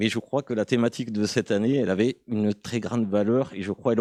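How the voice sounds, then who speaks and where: A man speaks at a fairly quick pace in a rural southern French accent, with a dark, mellow tone, fairly low pitch and fairly even intonation. The background is quiet and the sound dry and close, with no echo. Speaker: conference audience member. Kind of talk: conference Q&A comment. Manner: hesitant.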